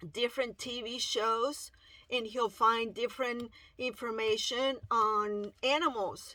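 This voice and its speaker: A woman with a Spanish accent at a very slow pace, her tone bright and sharp, her intonation fairly even. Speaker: parent video blogger. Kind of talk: personal testimony. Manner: halting.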